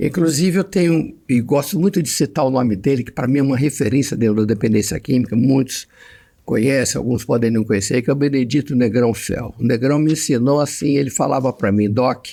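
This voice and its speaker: Moving at a fairly quick pace, a man speaks at a medium pitch with a dark, mellow tone. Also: ordinary pitch variation. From Brazil, Mato Grosso and Rio de Janeiro. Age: 70s. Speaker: psychiatrist. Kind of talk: interview conversation.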